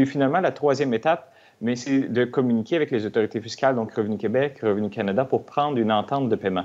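This man talks fairly quickly. His medium pitch shows ordinary variation. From Quebec. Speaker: tax expert; guest. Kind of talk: TV interview explaining finances.

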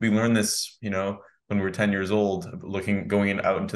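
A man's fairly low, monotone voice with an American accent, at a fairly quick pace against a quiet background. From United States. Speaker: podcast host. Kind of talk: interview. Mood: friendly, enthusiastic. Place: home room. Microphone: studio mic.

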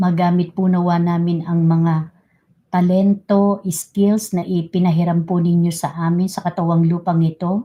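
A woman's somewhat breathy voice, warm in tone, with a dark, mellow tone, fairly low pitch, monotone, flat intonation and a fairly slow pace. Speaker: livestream host leading prayer. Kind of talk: fervent spoken prayer in Tagalog, earnest and devotional, with code-switching to English. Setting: livestream. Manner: earnest, reverent, fervent, slow and pleading; warm and polite, uses respectful 'po'.

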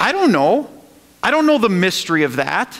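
A man talks in an animated tone at an extremely high pitch. His pace is moderate, and the background is quiet. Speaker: pastor. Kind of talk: sermon. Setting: church. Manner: animated, call-and-response preaching; emphatic, repeating phrases for emphasis. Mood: earnest, rhetorical questions. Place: church.

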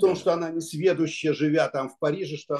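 A man speaks with a dark, mellow tone. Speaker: audience member. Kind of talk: discussion.

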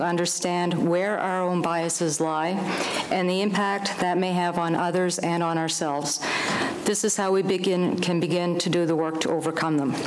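Against light background noise, a woman with a fairly low pitch talks at a moderate pace in a monotone, flat intonation and very even loudness. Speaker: speaker. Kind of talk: prepared speech. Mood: earnest, reflective. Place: hall. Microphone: podium.

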